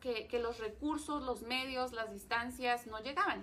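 Her voice sits fairly high for a woman, with a bright, sharp tone and ordinary pitch variation. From Mexico, Ensenada (Baja California). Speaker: teacher and avid reader. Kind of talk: live-streamed book talk. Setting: reading room in a bookstore.

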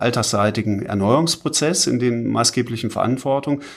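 Here a man talks fairly slowly at a medium pitch. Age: 50s. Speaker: urban development consultant, managing partner. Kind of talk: interview. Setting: studio, sitting face to face. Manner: hesitant, many filler sounds.

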